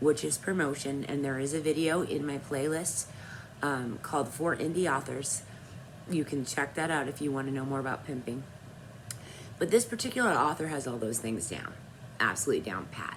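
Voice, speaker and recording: The woman's pitch is very deep and low. She speaks at a fairly quick pace. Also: ordinary pitch variation. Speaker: author and vlogger. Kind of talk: casual vlog talk.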